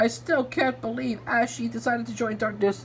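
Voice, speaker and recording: A put-on character voice at middle pitch moves at a moderate pace over clear background noise. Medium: read story.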